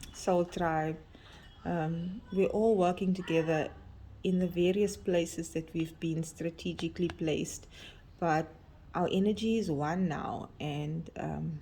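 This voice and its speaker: Soft-spoken and somewhat breathy, a woman talks at a fairly low pitch. Her pace is fairly slow and her intonation fairly even. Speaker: tarot card reader. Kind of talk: oracle card reading.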